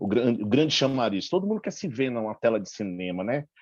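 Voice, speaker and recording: With very wide pitch swings, a man talks against a quiet background. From Brazil, Bahia (Salvador). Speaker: school teacher and film festival organizer. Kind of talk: audience comment in online panel.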